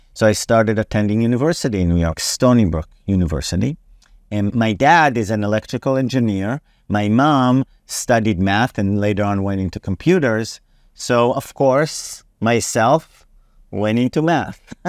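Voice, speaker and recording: Heard on a very clean recording with a silent background and a dry, close sound with no echo, a man with an Israeli accent speaks at a moderate pace in a medium pitch. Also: lively intonation. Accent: Israeli-accented English, noticeable. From Israel, Herzliya. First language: Hebrew. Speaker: ministry leader, Bible teacher. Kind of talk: interview, personal testimony. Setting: in Tel Aviv branch office.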